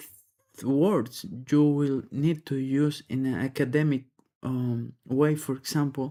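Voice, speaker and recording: A man speaks at a very slow pace in a Spanish accent, with a fairly high pitch. His tone is dark and mellow, and his intonation fairly even. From Peru. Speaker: English learner. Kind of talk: practice test speaking response. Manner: halting.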